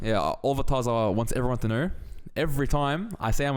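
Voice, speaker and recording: With an Australian accent and lively intonation, a man talks at a very fast pace and fairly high pitch, with audible room echo. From Australia (Sydney). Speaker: grappler. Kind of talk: casual chat.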